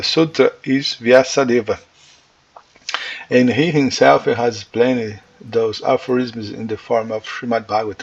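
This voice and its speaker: A man with a Portuguese accent speaks at a moderate pace and medium pitch. Noticeable background noise runs underneath. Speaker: religious teacher. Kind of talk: lecture. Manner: halting.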